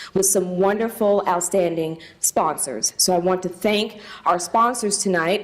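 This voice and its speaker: Over noticeable background noise, a woman talks in a Southern US accent at a fairly slow pace. Her voice sits at a medium pitch with ordinary pitch variation. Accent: Southern US drawl. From US South, Tennessee. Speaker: charity leader hosting event. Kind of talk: welcome speech.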